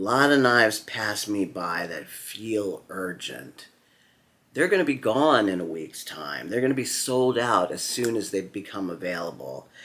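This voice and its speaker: With a fairly low pitch and a bright, sharp tone, a man speaks at a fairly slow pace using lively intonation. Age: 60s. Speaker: knife enthusiast vlogger and author. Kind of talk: casual vlog monologue.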